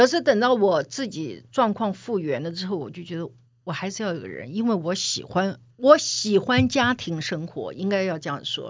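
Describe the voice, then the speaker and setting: A woman with a medium pitch and vocal fry speaks at a moderate pace with hardly any pauses. Her pitch swings very widely and her loudness swings a lot. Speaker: veteran media executive and author. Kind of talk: interview conversation.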